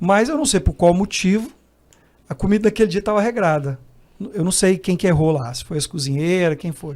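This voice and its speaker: High-pitched male voice with a Brazilian accent and lively intonation. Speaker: missionary. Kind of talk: casual chat.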